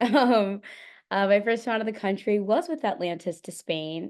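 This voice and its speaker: With an American accent, a woman talks in a normal speaking voice at a fairly quick pace. Her pitch varies in an ordinary way against a quiet background. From Florida. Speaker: medical student. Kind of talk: webinar presentation.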